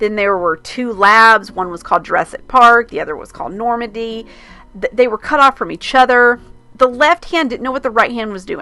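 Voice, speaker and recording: A woman at a fairly high pitch and fairly quick pace, animated in tone, with ordinary pitch variation, big swings in loudness and music in the background. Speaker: podcast host. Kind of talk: solo podcast commentary. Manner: fast; animated, with false starts.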